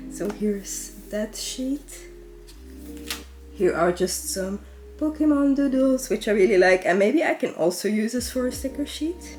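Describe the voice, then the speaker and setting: A woman with a Dutch accent speaks at a fairly slow pace with long, frequent pauses. Music plays in the background. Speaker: artist / sketchbook YouTuber. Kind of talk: sketchbook tour narration. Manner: casual, chatty.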